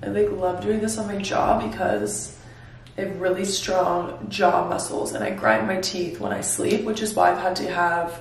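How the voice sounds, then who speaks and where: Room echo can be heard clearly around a woman's voice. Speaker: lifestyle vlogger. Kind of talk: casual vlog chat. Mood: relaxed, cheerful. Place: home room. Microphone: phone near.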